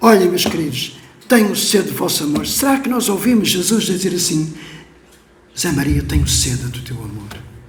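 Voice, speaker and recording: With audible room echo and noticeable background noise, a man speaks at a moderate pace in a high pitch that swings very widely. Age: 70s. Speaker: pastor. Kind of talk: sermon. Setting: church. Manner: emotional, impassioned.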